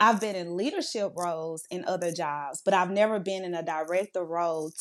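A woman with a Louisiana accent against a quiet background. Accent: US Southern (Louisiana). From Louisiana (Monroe). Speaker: youth services director. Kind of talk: interview.

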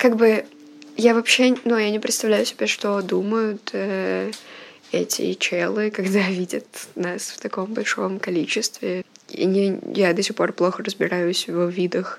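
Noticeable background noise accompanies a woman at a medium pitch. She speaks at a fairly slow pace with fairly even intonation. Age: 20s. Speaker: student journalist under house arrest. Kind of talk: audio diary. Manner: hesitant, many fillers.

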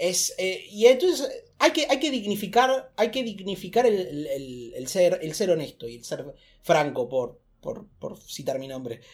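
Speaking at a fairly slow pace and a high pitch, a man shows very wide pitch swings and big swings in loudness. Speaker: stand-up comedian. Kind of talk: casual chat. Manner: loud, shouting; animated.

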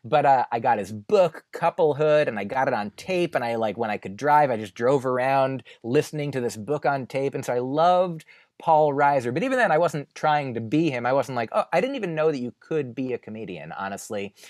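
A man with an American accent and an ordinary speaking voice talks at a medium pitch and a fairly quick pace with hardly any pauses. His intonation is lively, and the sound is dry and close with no echo. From New Jersey. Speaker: stand-up comedian. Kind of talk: podcast interview.

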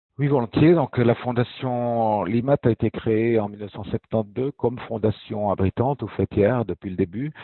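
A man speaks in an ordinary speaking voice at a fairly slow pace with hardly any pauses. His pitch is medium, with ordinary pitch variation. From French-speaking Switzerland (Fribourg). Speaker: foundation director. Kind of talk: interview.

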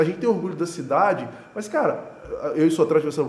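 A man races through his words very fast while noticeable background noise carries on behind him. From Juiz de Fora, Minas Gerais, Brazil. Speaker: event organizer and entrepreneur. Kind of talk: casual interview chat.

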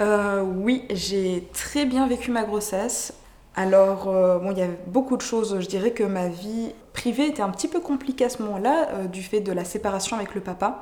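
Noticeable background noise surrounds a woman speaking at medium pitch. She keeps a moderate pace with ordinary pitch variation. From France. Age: 20s. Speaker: mother sharing birth story. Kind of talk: testimony. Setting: in person. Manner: hesitant, many fillers.

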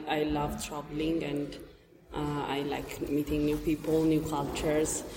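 A woman with a very deep, low voice speaks at a fairly slow pace amid audible room echo and noticeable background noise. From Ethiopia. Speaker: master's student. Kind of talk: interview. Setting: conference building.

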